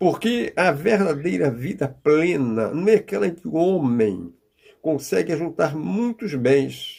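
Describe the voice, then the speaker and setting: A dark, mellow voice unfolds at a very slow pace. It swings very widely in pitch. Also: man. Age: 80s+. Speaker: preacher. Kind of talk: sermon.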